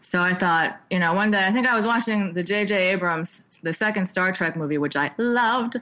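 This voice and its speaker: With an American accent, the speaker talks at a fairly quick pace in a normal speaking voice with ordinary pitch variation. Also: woman. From New York. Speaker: filmmaker. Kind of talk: interview.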